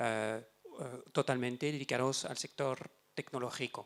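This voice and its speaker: A man speaks at a fairly slow pace with a French accent, his pitch medium and its variation ordinary. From France. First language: French (speaking Spanish). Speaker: investment banker, panelist. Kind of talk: panel discussion.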